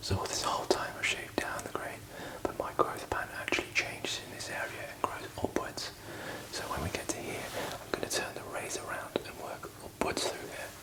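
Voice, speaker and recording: A man is whispering at a fairly quick pace, with big swings in loudness. Noticeable background noise can be heard. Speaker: barber. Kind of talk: ASMR shaving tutorial. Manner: whispered.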